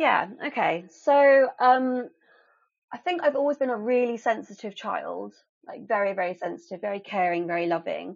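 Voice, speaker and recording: A woman talks with a southern English accent. Her pitch is fairly high and her intonation lively. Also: moderate pace. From England. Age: 30s. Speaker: abuse survivor. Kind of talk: personal testimony in interview.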